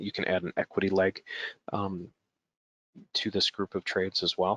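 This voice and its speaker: Using a put-on character voice, a man speaks hoarsely at a moderate pace, with a very deep, low pitch and monotone, flat intonation. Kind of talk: professional tutorial tone.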